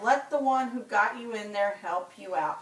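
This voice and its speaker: Over clear background noise, a woman at medium pitch uses a put-on character voice at a moderate pace. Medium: read story. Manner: curt, dismissive.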